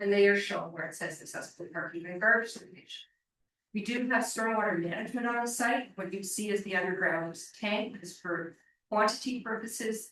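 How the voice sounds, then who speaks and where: A fairly high-pitched woman's voice at a fairly quick pace, with ordinary pitch variation. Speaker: planning consultant for applicant. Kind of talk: presentation at council meeting.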